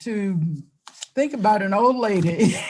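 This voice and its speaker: A woman talks very slowly, somewhat breathy at a medium pitch. Her pitch swings very widely. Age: 80s+. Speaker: politician. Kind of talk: speech.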